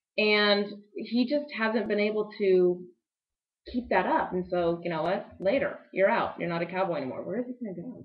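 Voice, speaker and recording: A woman talks with lively intonation at a moderate pace. The background stays quiet. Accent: American. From Texas (Dallas); Texas. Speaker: sports show co-host. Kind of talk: casual sports talk. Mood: relaxed, chatty. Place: office. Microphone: webcam.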